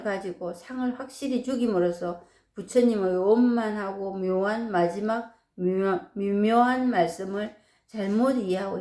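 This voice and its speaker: At a very slow pace, a woman with fairly high pitch, a dark, mellow tone, and ordinary pitch variation speaks. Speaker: Buddhist dharma teacher. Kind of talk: dharma talk. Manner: conversational.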